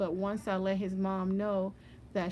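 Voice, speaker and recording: Soft-spoken, a woman talks at a medium pitch and a moderate pace. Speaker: loctician. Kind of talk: tutorial.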